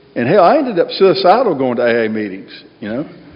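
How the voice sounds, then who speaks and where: Over noticeable background noise, the talking comes at a fairly quick pace in an American accent. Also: man. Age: 60s. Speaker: AA speaker. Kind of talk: recovery talk to a meeting. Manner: casual, conversational.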